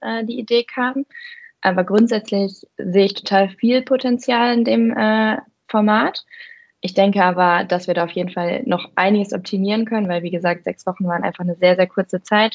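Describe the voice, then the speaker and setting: A woman speaks in a normal speaking voice at medium pitch and a moderate pace. Her loudness swings widely while her pitch varies in an ordinary way. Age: 20s. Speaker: content marketer at a software review platform. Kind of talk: casual interview.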